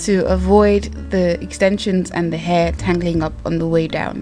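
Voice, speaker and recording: A woman talks very slowly. Behind her, music can be heard. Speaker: hair tutorial vlogger. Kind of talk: casual hair tutorial talk to camera.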